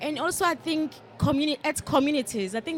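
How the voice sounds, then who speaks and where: Speaking at a fairly quick pace, a woman in a South African accent uses ordinary pitch variation. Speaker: panel participant. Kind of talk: panel discussion.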